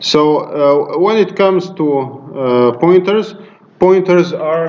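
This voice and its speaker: Amid noticeable background noise and audible room echo, a man with a high pitch speaks at a fairly slow pace with lively intonation. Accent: Arabic. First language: Arabic. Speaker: university lecturer. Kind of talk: lecture. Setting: classroom. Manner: hesitant, many fillers.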